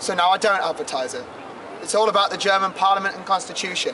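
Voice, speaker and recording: Very fast speech over noticeable background noise. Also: man. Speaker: tour guide. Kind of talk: guided tour talk to a group. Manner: loud; animated, jokey.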